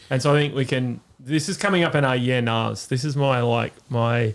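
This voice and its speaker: Here a man speaks with an Australian accent at medium pitch. The recording is very clean, with a silent background. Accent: Australian, noticed by Americans. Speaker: podcast co-host. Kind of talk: casual chat.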